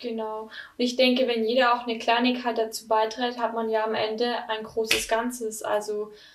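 Audible room echo surrounds a woman speaking at a moderate pace. Her pitch is fairly high and her intonation monotone and flat. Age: 20s. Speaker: podcast host. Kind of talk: interview.

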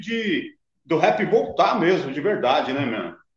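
A man's high-pitched voice. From Brazil, São Paulo area (Carapicuíba). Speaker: rapper. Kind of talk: casual chat.

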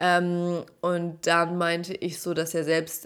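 The recording is very clean, with a silent background. A woman speaks in a fairly low pitch. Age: 30s. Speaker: dating podcast host. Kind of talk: casual solo monologue.

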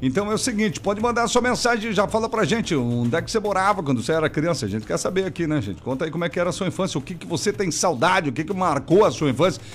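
Very fast and with hardly any pauses, a man talks in a high, animated voice with very wide pitch swings. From Rio Grande do Sul, Brazil. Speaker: radio host. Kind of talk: live radio call-in show. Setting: studio.

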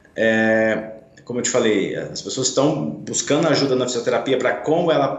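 A man with a medium pitch speaks amid audible room echo and noticeable background noise. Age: 40s. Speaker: physiotherapist. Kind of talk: radio interview. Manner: hesitant, many filler sounds.

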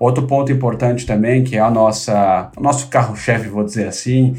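A man talks at a moderate pace in a medium pitch, with fairly even intonation. He has an unremarkable speaking voice. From São Paulo city, Brazil (north zone). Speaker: tech company executive. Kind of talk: interview.

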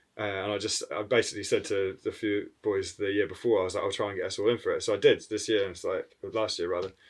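Someone speaks very fast with a New Zealand accent. The recording is very clean, with a silent background. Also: man. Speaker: graffiti artist. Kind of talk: casual chat. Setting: studio.

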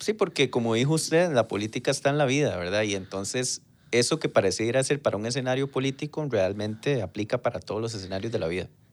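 Speaking very fast with hardly any pauses, a man uses a medium pitch and lively intonation on a very clean recording with a silent background. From Costa Rica, Pérez Zeledón. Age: 30s. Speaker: politician. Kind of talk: casual chat.

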